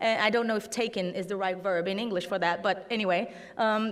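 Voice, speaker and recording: With audible room echo around her, a woman talks in a Portuguese accent. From Brazil. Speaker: fact-checking network leader. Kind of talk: conference talk. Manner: halting, many fillers.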